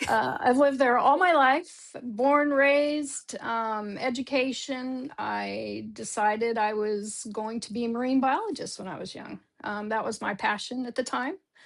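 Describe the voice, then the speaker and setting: In an Oklahoma accent, a woman with a high pitch talks at a fairly slow pace, showing ordinary pitch variation and big swings in loudness. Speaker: off-road industry event coordinator. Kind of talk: interview.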